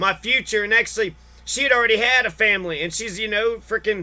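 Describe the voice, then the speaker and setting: Over music in the background, a man with a high voice projects loudly at a fairly quick pace. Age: 30s. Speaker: vlogger. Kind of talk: personal rant monologue. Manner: animated.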